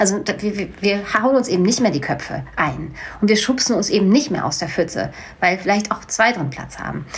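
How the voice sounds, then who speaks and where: A woman talks at a moderate pace and medium pitch with lively intonation. The room echo is audible, and there is noticeable background noise. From Hanau, Hesse, Germany. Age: 40s. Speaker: slam poet and storyteller. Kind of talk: casual interview chat. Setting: sitting together over coffee.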